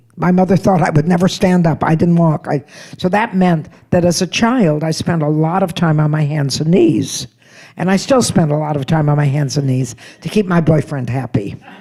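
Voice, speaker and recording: A woman speaks with an American accent in a very deep, low pitch, her tone dark and mellow and somewhat breathy. Her pitch varies in an ordinary way, and her pace is moderate. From United States. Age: 80s+. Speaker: comedian. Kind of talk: stand-up.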